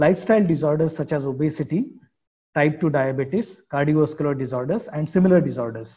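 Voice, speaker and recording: In an Indian accent, the speaker goes at a very fast pace, with a dark, mellow tone that is somewhat breathy and ordinary pitch variation. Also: man, fairly high pitch for a man. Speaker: professor. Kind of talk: lecture. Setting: video call.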